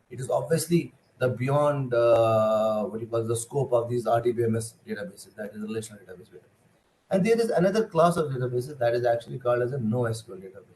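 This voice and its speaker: A man with a medium-pitched, somewhat breathy voice talks at a very fast pace, his loudness swinging widely while his pitch varies in an ordinary way. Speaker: computer science lecturer. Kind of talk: lecture. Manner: hesitant, many fillers.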